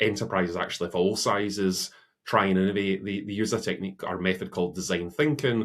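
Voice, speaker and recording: On a very clean recording with a silent background, a man with a Scottish accent speaks at a fairly low pitch. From Scotland. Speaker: innovation consultancy CEO. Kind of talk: interview.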